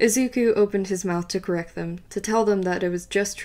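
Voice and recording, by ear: The passage is read aloud in a natural voice.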